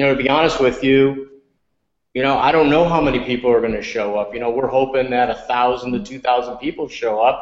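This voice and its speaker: A man with an American accent and a normal speaking voice talks at medium pitch with fairly even intonation. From upstate New York. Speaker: restaurant chain executive. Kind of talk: podcast interview.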